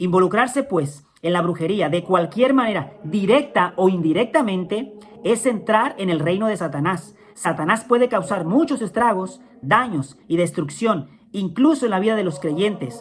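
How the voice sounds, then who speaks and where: Noticeable background noise is heard. The speaking pace is fairly slow. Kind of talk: religious teaching talk.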